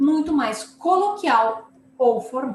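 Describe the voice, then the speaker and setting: Amid noticeable background noise, a woman speaks at a very slow pace with a southern Brazilian accent. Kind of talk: lecture, explanatory. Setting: class lecture.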